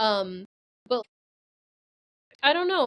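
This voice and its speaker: The recording has a dry, close sound with no echo as a woman with an American accent speaks in a fairly high pitch. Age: 30s. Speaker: guest, former grad student. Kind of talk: casual conversation.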